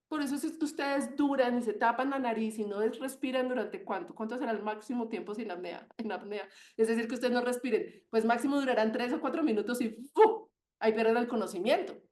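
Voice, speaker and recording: The woman speaks at a fairly quick pace. Her pitch is high. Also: ordinary pitch variation. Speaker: medical doctor giving webinar talk. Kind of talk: webinar lecture. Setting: online webinar. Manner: fast; animated, passionate.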